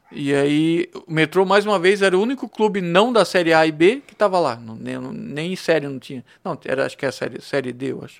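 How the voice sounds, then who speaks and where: Speaking at a fairly quick pace with hardly any pauses, a man uses a high pitch, lively intonation, and big swings in loudness. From Blumenau, southern Brazil. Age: 40s. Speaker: songwriter and volunteer. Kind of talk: casual interview chat.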